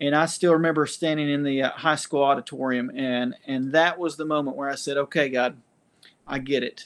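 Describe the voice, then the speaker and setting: A man with an East Tennessee accent speaks fairly quickly at a fairly high pitch. His intonation is monotone and flat, over a quiet background. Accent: Southern US (East Tennessee). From US South, Knoxville, Tennessee. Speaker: church leader with doctorate sharing faith story. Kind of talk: testimony. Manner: halting, many fillers.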